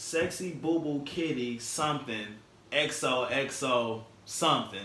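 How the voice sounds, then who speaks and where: A man with a Detroit accent, ordinary pitch variation, and noticeable background noise. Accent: Detroit urban American English. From Detroit, Michigan. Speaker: chef and guest co-host. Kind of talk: casual chat. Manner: laid-back, slangy.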